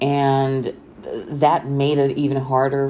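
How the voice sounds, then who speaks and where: This woman talks with a Romanian accent. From Romania, Bucharest. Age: 30s. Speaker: podcaster. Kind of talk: casual monologue. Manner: hesitant, many fillers.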